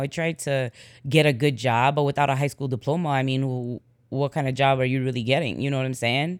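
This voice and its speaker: A woman with a Chicago accent talks at a fairly quick clip in a very deep, low voice with ordinary pitch variation, captured in a very clean recording against a silent background. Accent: Chicago American English. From Chicago, US. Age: 40s. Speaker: podcast host. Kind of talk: casual monologue.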